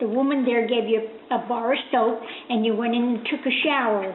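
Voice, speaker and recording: A woman with an American accent speaks at a fairly high pitch with fairly even intonation. The room echo is audible, and background noise is noticeable. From US Northeast, Newark, New Jersey. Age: 80s+. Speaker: interviewee grandmother. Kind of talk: oral history interview. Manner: halting, many hesitations.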